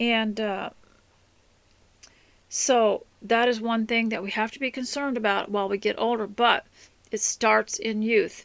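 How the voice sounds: A woman talks at a fairly slow pace with long, frequent pauses. Her fairly high, fairly bright voice has vocal fry and fairly even intonation.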